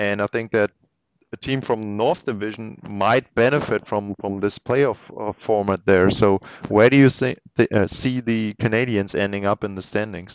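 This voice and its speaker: With a German accent, a man talks at a moderate pace. His pitch is fairly low and his intonation fairly even. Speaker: hockey podcast host. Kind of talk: casual interview. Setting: remote call.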